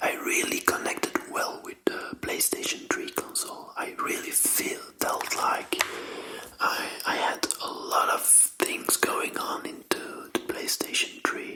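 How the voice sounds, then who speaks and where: With noticeable background noise behind it, the voice whispers at a very slow pace in a gentle tone. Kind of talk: ASMR whispered talk about game controllers. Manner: gentle, soft, whispered.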